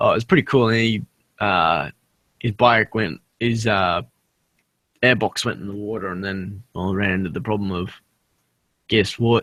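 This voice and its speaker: The voice has ordinary pitch variation and long, frequent pauses, captured with a dry, close sound and no echo. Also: man, fairly low pitch for a man. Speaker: motovlogger in a hangout chat. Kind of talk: casual chat. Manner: fast.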